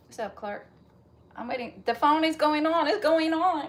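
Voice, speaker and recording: Through noticeable background noise, a woman talks at a moderate pace in an animated tone. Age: 40s. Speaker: fitness livestreamer. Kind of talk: casual live-chat talk.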